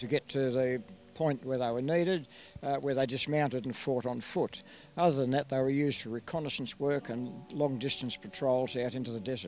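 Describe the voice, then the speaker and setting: Speaking at a fairly quick pace, a man with an Australian accent uses a medium pitch. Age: 70s. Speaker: light horse re-enactment troop leader. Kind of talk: interview.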